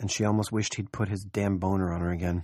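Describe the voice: Fairly even intonation throughout plain reading aloud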